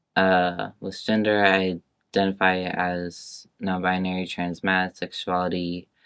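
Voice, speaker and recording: Against a quiet background, a man speaks with a very deep, low pitch in an American accent. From Northern California, Woodland. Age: 20s. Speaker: community college student. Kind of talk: oral history interview. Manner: halting.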